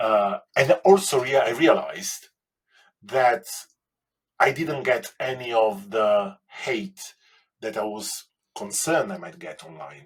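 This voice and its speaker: A man talks at a very slow pace with long, frequent pauses, his medium-pitched voice carrying lively intonation. His loudness swings widely from moment to moment. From Italy. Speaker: baking competition winner. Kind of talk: interview. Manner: halting.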